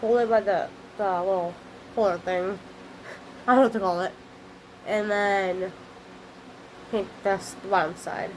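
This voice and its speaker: The speaker uses fairly even intonation and leaves long, frequent pauses. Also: woman, medium pitch for a woman. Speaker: craft video maker. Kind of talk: tutorial. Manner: fast; halting, self-correcting.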